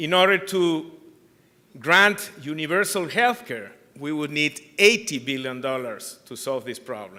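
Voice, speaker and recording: A man with a Peruvian accent speaks fairly slowly in a fairly high pitch, his tone bright and sharp. His pitch swings very widely and his loudness shifts in big swings. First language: Spanish. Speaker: anti-corruption organization chair. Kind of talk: conference keynote speech.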